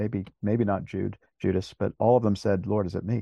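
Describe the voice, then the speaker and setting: Here a man speaks in a dark, mellow tone. The background is quiet and the sound is dry and close with no echo. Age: 50s. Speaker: pastor. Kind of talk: casual chat. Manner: halting.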